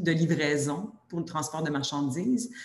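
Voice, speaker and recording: A woman with a Quebec accent speaks at a very deep, low pitch. Her fairly slow delivery has fairly even intonation, with noticeable background noise. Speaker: sector workforce committee director. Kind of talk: webinar presentation. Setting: video webinar.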